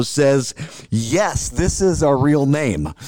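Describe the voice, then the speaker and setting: A man speaks in an American accent. Music plays in the background. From St. Louis, Missouri. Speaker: sports reporter and podcast co-host. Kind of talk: casual sports chat.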